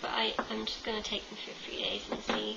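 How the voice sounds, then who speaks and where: An English accent with audible room echo and noticeable background noise. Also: woman. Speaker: vlogger. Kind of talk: casual vlog monologue. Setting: home webcam. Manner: chatty, many fillers. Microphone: webcam, poor quality.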